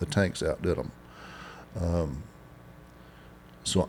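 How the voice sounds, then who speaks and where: With a West Texas accent, a man speaks at a fairly slow pace in a dark, mellow tone and fairly even intonation. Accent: West Texas drawl. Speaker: oilfield inventor and business owner. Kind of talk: interview. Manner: halting.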